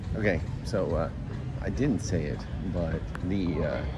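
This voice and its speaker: Clear music sits behind a man's voice. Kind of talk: casual vlog chat. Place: station. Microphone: phone near.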